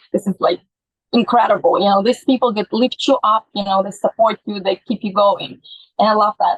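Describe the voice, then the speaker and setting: A woman's somewhat breathy, fairly high voice at a fairly quick pace, with ordinary pitch variation. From Latvia, raised in London. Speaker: musician and fashion model. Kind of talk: interview.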